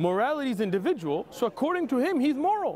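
A man's animated tone at a very fast pace, with very wide pitch swings and crowd noise in the background. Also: dry sound with no echo. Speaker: street preacher. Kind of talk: heated debate. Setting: outdoors. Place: street.

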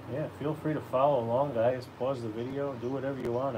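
Over noticeable background noise, the voice runs at a fairly quick pace with monotone, flat intonation. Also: man. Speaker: caricature artist livestreamer. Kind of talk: casual live drawing stream. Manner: casual, chatty, friendly. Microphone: phone near.

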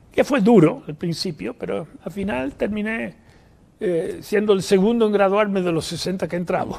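A man's high voice carries ordinary pitch variation as he talks at a moderate pace. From New York, US (Puerto Rican parents). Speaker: economist and professor; guest. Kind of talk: interview conversation; interview answer. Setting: live event with audience. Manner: halting, many fillers. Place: studio. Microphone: lapel.

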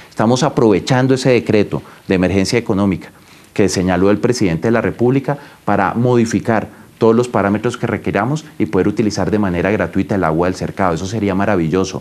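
Delivered at a very fast pace, the voice keeps a very even loudness and ordinary pitch variation. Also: man, fairly low pitch for a man. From Colombia, La Guajira (Riohacha). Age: 30s. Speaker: government minister. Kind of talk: news interview. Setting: remote call from home. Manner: formal. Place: office. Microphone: lapel.

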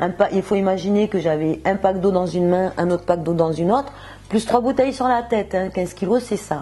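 At a fairly quick pace, a woman speaks in a dark, mellow tone with ordinary pitch variation. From southern France, Montpellier. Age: 50s. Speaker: shopkeeper giving a diet testimonial. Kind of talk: testimony. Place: shop. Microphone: lapel.

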